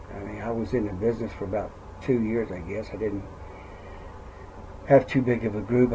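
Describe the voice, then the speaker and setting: Audible room echo surrounds a man speaking at a fairly low pitch and a fairly quick pace, his intonation fairly even. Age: 60s. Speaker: network marketer and retired truck driver. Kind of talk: casual vlog monologue. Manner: rambling, conversational.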